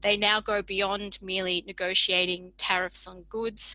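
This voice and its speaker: With an Australian accent, a woman speaks at a fairly slow pace. Her tone is bright and sharp, with fairly even intonation. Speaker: public health researcher. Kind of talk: lecture. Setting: video call.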